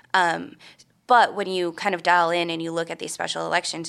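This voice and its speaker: A woman with an American accent, a fairly low pitch, a bright, sharp tone, and vocal fry. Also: very clean recording, silent background. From Minnesota. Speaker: political reporter. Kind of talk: interview.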